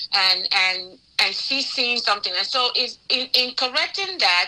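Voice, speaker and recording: Noticeable background noise is audible. A woman talks in a high pitch over it. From Africa (Nigeria). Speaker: pastor and relationship talk show host. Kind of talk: live talk show discussion. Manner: gets loud when emotional.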